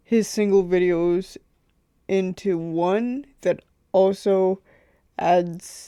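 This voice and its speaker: Quiet and dark, mellow in tone, a woman speaks at a medium pitch with fairly even intonation, in a dry, close, very clean recording with no echo and a silent background. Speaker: YouTube reaction channel host. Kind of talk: reaction video intro. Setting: home computer room. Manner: quiet, keeping voice down; hesitant, many fillers.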